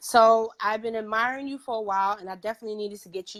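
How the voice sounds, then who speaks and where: A woman with a New York accent, animated in tone, at a fairly quick pace on a very clean recording with a silent background. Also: dry, close sound with no echo. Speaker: podcast host. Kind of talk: casual interview chat. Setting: livestream interview.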